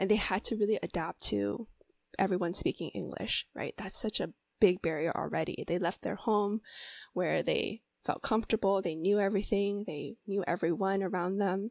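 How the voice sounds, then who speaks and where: An unremarkable speaking voice from a woman with an American accent, medium pitch, fairly even intonation and a moderate pace, in a dry, close sound with no echo on a very clean recording with a silent background. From US. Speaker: mental health therapist. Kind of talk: interview.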